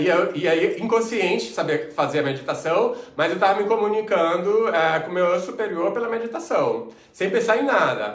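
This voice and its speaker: A man's voice is heard with audible room echo. Noticeable background noise is present too. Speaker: mentor and coach. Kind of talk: online lecture.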